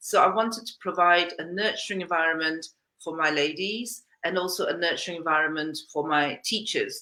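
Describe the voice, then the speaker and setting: A woman with a fairly low pitch talks at a fairly quick pace, her bright, sharp tone showing ordinary pitch variation. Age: 60s. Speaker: dance fitness business founder and teacher. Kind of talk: interview.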